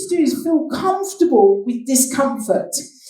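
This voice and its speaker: The woman's high pitch swings very widely at a moderate pace. Audible room echo and noticeable background noise fill the recording. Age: 60s. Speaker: business speaker. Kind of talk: keynote talk.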